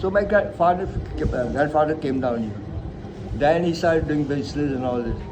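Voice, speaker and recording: With noticeable background noise and audible room echo around him, a man speaks at a moderate pace and a fairly high pitch with ordinary pitch variation. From India, Mumbai. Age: 70s. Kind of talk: interview. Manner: halting.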